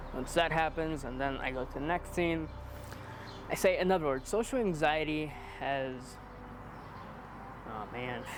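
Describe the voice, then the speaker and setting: A man with a fairly high pitch and ordinary pitch variation talks at a moderate pace, pausing long and often amid audible room echo. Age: young. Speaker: aspiring video creator, maintenance worker. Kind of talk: casual interview chat.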